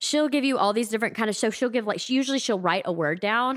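A woman with a Southern US accent and ordinary pitch variation, on a very clean recording with a silent background. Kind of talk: casual chat. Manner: halting, many fillers.

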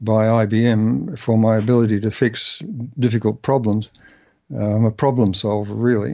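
This man talks at a moderate pace with an Australian accent, his medium pitch carrying fairly even intonation at a very even loudness. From Australia, Melbourne. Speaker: physicist. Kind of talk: interview. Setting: phone call. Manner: halting.

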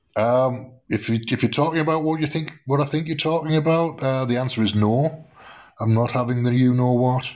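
A man with an English accent speaks at very even loudness, with ordinary pitch variation. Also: medium pitch for a man, moderate pace. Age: 50s. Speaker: live audio room host. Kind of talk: casual chat. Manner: relaxed.

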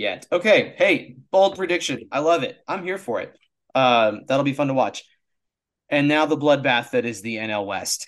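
A man with an unremarkable speaking voice talks at a moderate pace, his fairly high pitch rising and falling in lively intonation. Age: 30s. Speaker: baseball podcast co-host. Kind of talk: casual chat.

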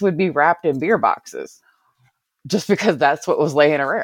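A woman with an American accent uses lively intonation, recorded with a dry, close sound with no echo and a quiet background. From Virginia (Covington, Alleghany County). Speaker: podcast guest, former call center rep. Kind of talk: casual chat.

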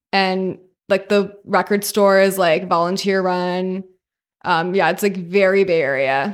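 A woman with a Californian accent speaks at a fairly slow pace, with a medium pitch, fairly even intonation and very even loudness, in a very clean recording with a silent background. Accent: Californian, valley girl. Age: 20s. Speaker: DJ and law student. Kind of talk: casual chat.

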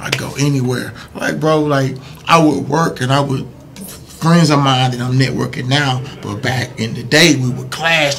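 A man with an American accent at a moderate pace, fairly high in pitch, ordinary pitch variation, and noticeable background noise. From Missouri City, Texas. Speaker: comedian and entrepreneur. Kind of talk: casual interview.

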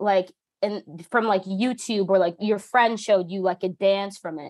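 An ordinary speaking voice with an American accent moves at a moderate pace with fairly even intonation, recorded with a dry, close sound with no echo and a quiet background. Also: woman. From US Northeast, New Jersey. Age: 20s. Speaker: musician and publicist. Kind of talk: casual interview.

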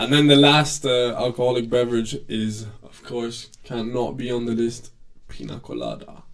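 In a plain, everyday voice, the speaker goes at a moderate pace with ordinary pitch variation and big swings in loudness. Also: man, medium pitch for a man. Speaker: podcast host. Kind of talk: casual chat.

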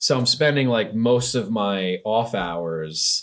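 A man with an American accent, fairly low pitch, and ordinary pitch variation on a very clean recording with a silent background. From US, Central New Jersey. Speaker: tech startup founder. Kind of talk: casual interview.

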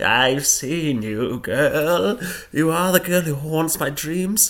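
A man speaks very slowly in a put-on character voice with a fairly high pitch. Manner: eerie, accusing.

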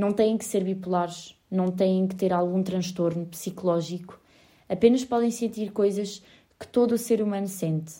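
A woman's ordinary speaking voice, medium in pitch, at a moderate pace with fairly even intonation. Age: 20s. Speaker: podcaster. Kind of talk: personal monologue.

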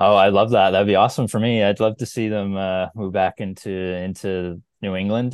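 The speaker has a Maritime Canadian accent and talks at a moderate pace. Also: man. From New Brunswick, Canada. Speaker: sports travel writer. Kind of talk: casual chat.

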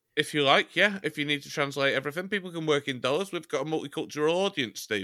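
Talking at a very fast pace with hardly any pauses, a man with a fairly high voice uses lively intonation, a bright, sharp tone and vocal fry on a very clean recording with a silent background. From England, Chester. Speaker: podcast co-host. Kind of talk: casual comedic chat.

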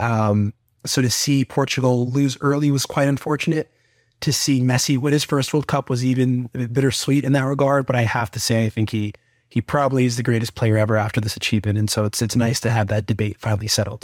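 A man with an American accent talks at a very fast pace in a medium pitch. His intonation is fairly even, and the recording is very clean with a silent background. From Atlanta, Georgia, US South. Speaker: case interview coach, MBA student. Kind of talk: interview. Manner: halting, frequent fillers and repeats.

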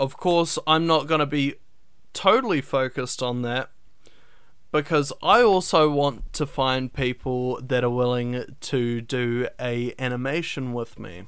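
In a very clean recording with a silent background, a man with a New Zealand accent speaks fairly slowly at a medium pitch with ordinary pitch variation. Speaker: podcast host and animation student. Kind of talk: casual solo podcast talk.

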